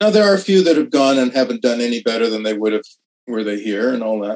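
A man with a Canadian accent has an unremarkable speaking voice at a medium pitch with ordinary pitch variation. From Canadian Prairies, Saskatoon. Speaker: TV writer and actor. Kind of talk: casual interview.

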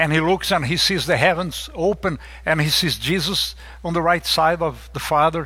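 Speaking at a moderate pace in a Portuguese accent, the voice has a bright, sharp tone and fairly even intonation, on a very clean recording with a silent background. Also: man. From Brazil. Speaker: lay preacher. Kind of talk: sermon. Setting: church.

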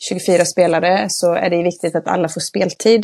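A woman with an unremarkable speaking voice talks at a fairly slow pace and medium pitch. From Västergötland, Sweden. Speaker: football club manager and youth coach. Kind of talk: casual podcast interview.

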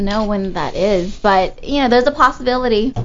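A woman speaks in a normal speaking voice. Her pitch is fairly high, with ordinary variation. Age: 20s. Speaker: webcam model. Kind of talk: casual chat. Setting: studio.

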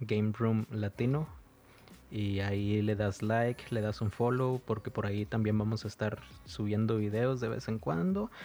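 Captured in a very clean recording with a silent background, a man with a Mexican accent speaks in a dark, mellow tone with fairly even intonation. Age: 30s. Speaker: podcast co-host. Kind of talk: casual chat. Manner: halting.

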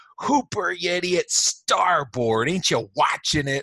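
A man's put-on character voice, high-pitched, at a fairly slow pace. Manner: disdainful, scornful.

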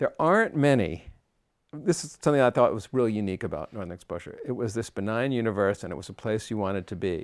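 A man talks at a very fast pace and medium pitch, his intonation lively and his loudness swinging widely. The recording is very clean, with a silent background. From US Northeast (Long Island, New York). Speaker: composer. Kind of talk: interview. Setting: studio.

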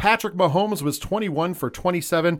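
In a very clean recording with a silent background, a man with an unremarkable speaking voice talks at a moderate pace, his pitch fairly high and his intonation lively. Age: 40s. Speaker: podcast host, sports and wrestling co-host. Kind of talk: casual chat. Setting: studio.

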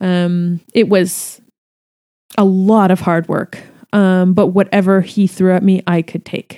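Very slow and monotone with flat intonation, a woman with a Canadian accent speaks at a medium pitch in a dark, mellow tone, in a dry, close sound with no echo. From Canada. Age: 30s. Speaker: hair extension artist and educator. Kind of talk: casual solo podcast monologue. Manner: hesitant, many fillers.

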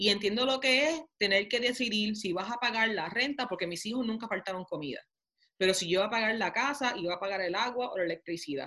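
At a fairly quick pace, a woman talks in a fairly high, bright, sharp voice with lively intonation. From Puerto Rico (Toa Baja). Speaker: mayor and congressional candidate. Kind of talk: interview. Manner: halting, many fillers.

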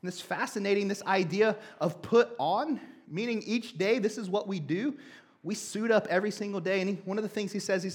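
Text read in a natural reading voice

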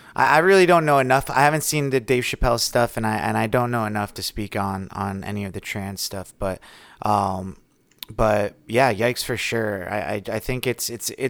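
Here a man uses a plain, everyday voice, fairly low in pitch. His pace is moderate and his pitch varies in an ordinary way. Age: 30s. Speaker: podcast co-host. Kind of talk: casual chat.

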